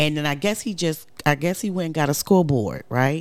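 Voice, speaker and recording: In a very clean recording with a silent background, a woman speaks at a moderate pace with very deep, low pitch. Her tone is animated, with ordinary pitch variation. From New York, Brooklyn. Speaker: podcast co-host. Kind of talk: casual chat.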